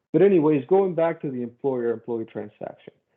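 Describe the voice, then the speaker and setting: In a Spanish accent, a man speaks at a moderate pace with very wide pitch swings. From Mexico City, Mexico. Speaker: safety consultant. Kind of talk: presentation. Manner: animated.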